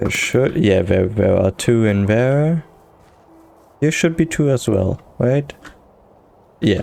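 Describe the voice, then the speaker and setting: A man at a medium pitch talks at a very slow pace with long, frequent pauses and lively intonation. His loudness is very even, and background noise is noticeable. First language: not English. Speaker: gaming youtuber. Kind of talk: casual gameplay commentary. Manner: halting.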